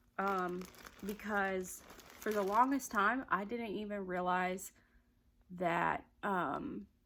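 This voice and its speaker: A woman speaks at a very slow pace with long, frequent pauses. Her pitch variation is ordinary. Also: medium pitch for a woman. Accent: Southern US. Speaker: crochet vlogger. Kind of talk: casual chat. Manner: casual, hesitant with fillers.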